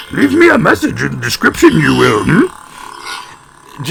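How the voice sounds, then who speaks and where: A man puts on a character voice and delivers it at a fairly slow pace. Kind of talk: inverted syntax. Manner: cryptic, halting.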